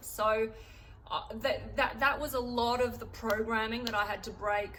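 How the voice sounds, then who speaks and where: With an Australian accent, a woman speaks at a fairly high pitch in a monotone, flat intonation, with audible room echo. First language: German. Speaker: artist and vlogger. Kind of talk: casual vlog talk. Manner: halting, many fillers.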